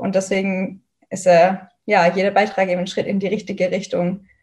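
Somewhat breathy and medium in pitch, a woman speaks at a moderate pace. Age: 20s. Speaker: student activist. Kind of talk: interview.

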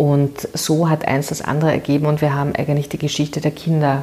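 A woman talks at a moderate pace in a very deep, low voice. Her intonation is flat and monotone, and there is noticeable background noise. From Vienna, Austria (Währing district). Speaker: political candidate, former NGO worker. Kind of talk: interview.

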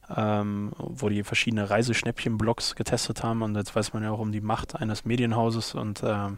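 This is a man with a medium-pitched voice. His intonation is flat and monotone. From Ruhr area, Germany (Unna). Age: 30s. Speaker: company co-founder. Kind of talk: interview. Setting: office.

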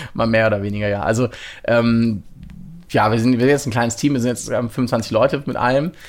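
Fairly even intonation at a medium pitch from a man. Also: fairly quick pace. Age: 30s. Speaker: VR company co-founder and CTO. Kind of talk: interview. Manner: halting.

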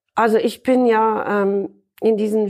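A woman with a fairly high voice speaks very slowly, her intonation fairly even. The recording is very clean, with a silent background. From Ireland. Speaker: marine scientist, professor. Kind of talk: interview.

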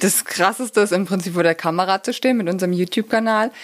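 At a moderate pace, a woman talks in a plain, everyday voice of medium pitch with ordinary pitch variation. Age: 40s. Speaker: physiotherapist and pain therapist, YouTuber. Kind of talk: casual interview chat.

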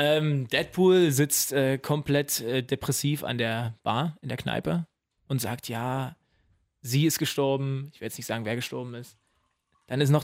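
On a very clean recording with a silent background, a man with an unremarkable speaking voice talks at a moderate pace and a fairly high pitch, his loudness swinging widely while his pitch varies in an ordinary way. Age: 20s. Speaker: new podcast co-host. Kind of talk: casual chat.

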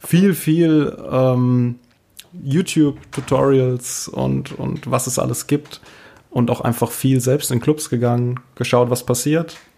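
Speaking at a very slow pace, a man with a medium pitch and a dark, mellow tone keeps his intonation fairly even. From Rhineland-Palatinate, rural Palatinate village. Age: 30s. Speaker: DJ and youth welfare office employee. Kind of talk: casual interview chat.

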